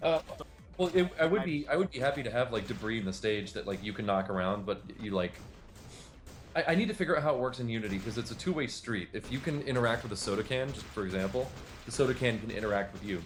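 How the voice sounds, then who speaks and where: Music plays in the background as a man speaks at a very fast pace. His pitch is medium and his intonation lively. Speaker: game developer and animator. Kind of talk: casual chat.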